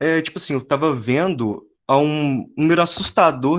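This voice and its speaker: A man speaks at a fairly slow pace. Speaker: student presenter. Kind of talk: academic presentation. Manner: halting.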